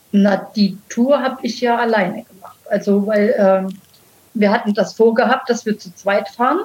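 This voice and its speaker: A woman speaks at a moderate pace with a fairly high pitch. It is a plain, everyday voice. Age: 60s. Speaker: e-bike touring video creator. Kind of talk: casual interview.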